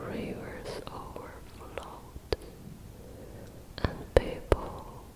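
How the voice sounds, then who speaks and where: A woman whispers at a very slow pace. Background noise is noticeable. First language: not English. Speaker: ASMR creator. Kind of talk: ASMR bedtime story. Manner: whispered, soft-spoken.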